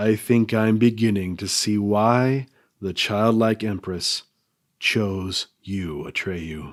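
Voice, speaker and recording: A man puts on a character voice, talking at a very slow pace and a fairly low pitch. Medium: read story. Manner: measured, solemn.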